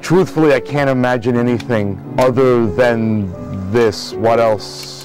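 Over clear background music, a man with an American accent talks at a very slow pace with hardly any pauses, the sound dry with no echo. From Long Island, New York. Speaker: classical radio announcer. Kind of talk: interview answer. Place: studio.

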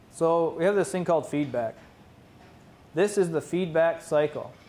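This man has a high-pitched voice with ordinary pitch variation. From Mohawk territory, Ontario, Canada. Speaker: Mohawk language teacher and PhD student; Mohawk language teacher. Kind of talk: conference presentation. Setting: conference room with audience. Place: classroom. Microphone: camera far.

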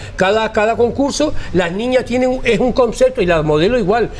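Over light background noise, a man talks at a fairly quick pace with lively intonation. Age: 60s. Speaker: hairstylist and carnival designer; interviewee. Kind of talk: interview. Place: home room. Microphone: lapel.

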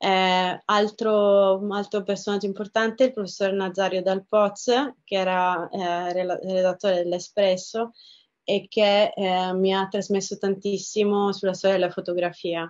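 Against a quiet background, a woman speaks at a fairly slow pace. Her intonation is monotone and flat. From southern Italy, Reggio Calabria; southern Italy. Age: 30s. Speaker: photographer and festival director. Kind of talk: personal interview monologue. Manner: hesitant, many fillers and repetitions. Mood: warm, reflective. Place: home room. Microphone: webcam.

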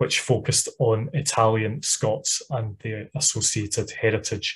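A man's somewhat breathy voice carries fairly even intonation. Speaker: webinar host introducing the speaker. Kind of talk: host introduction. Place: home room. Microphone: webcam.

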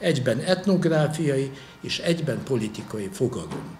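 At a moderate pace, a man with a fairly high pitch speaks with very wide pitch swings over light background noise. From Hungary. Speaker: historian and university lecturer; university lecturer. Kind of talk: lecture. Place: hall. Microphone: podium.

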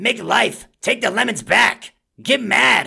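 This is a put-on character voice. The speaker is a man. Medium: role play. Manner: angry, ranting.

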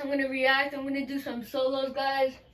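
A woman is talking. Her voice sits high. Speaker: gamer vlogger. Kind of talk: casual gaming reaction commentary. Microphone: phone near.

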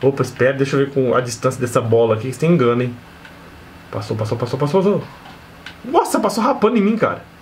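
Over light background noise, a man talks very fast with lively intonation, broken by long, frequent pauses. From Brazil. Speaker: gaming youtuber; gaming streamer. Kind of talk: gameplay commentary. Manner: animated.

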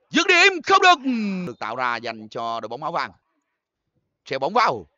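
A man at a moderate pace. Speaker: football commentator. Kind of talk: live football match commentary.

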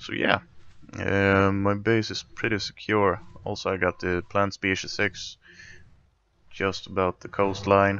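In a Swedish accent, a man speaks at a fairly low pitch and a fairly slow pace. He pauses often and at length. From Sweden. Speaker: video game streamer. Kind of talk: casual gameplay commentary. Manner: animated, chatty.

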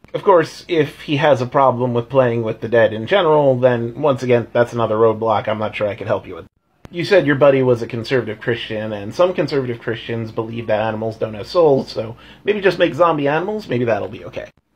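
At a very fast pace, a man talks with big swings in loudness. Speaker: tabletop game commentator. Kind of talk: casual vlog chat. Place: home room. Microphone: phone near.

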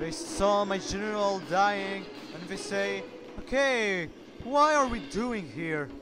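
Over music in the background and audible room echo, a man with a high pitch speaks at a very slow pace with lively intonation. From North Africa. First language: French. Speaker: gaming commentator. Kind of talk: live game commentary.

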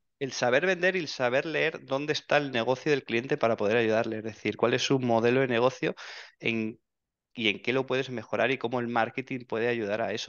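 A man talks at a fairly quick pace in a medium pitch. His pitch varies in an ordinary way. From Spain, Soria province (rural Castile). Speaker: digital marketing expert. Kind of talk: interview. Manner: halting, frequent repetitions and fillers.

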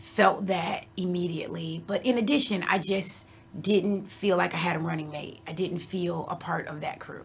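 Vocal fry and big swings in loudness mark a fairly slow delivery with ordinary pitch variation and light background noise. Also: woman. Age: 40s. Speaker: Coast Guard officer. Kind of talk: personal storytelling interview; interview answer. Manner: hesitant with frequent fillers. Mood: reflective, earnest. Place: studio.

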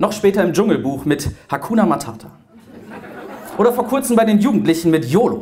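At a fairly quick pace, a man speaks with a high pitch and very wide pitch swings over light background noise. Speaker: preacher slam performer. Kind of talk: spoken word poetry slam performance to a live audience. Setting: live on stage in front of an audience. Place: hall. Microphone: handheld.

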